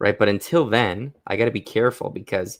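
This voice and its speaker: In a very clean recording with a silent background, a man with an unremarkable speaking voice talks at a fairly quick pace, his fairly low pitch showing ordinary pitch variation. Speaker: animation rigging streamer. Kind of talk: live stream tutorial. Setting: live stream with camera. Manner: casual, thinking aloud.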